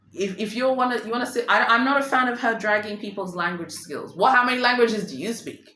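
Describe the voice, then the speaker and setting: Audible room echo surrounds a woman whose fairly high voice shows ordinary pitch variation. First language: Swahili. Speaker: luxury fashion vlogger. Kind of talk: casual commentary vlog. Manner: animated.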